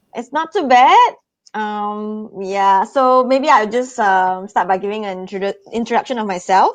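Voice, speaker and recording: A woman with a Singaporean accent, fairly high pitch and ordinary pitch variation, at a moderate pace. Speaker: tourism promoter. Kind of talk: live stream presentation. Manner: halting with fillers.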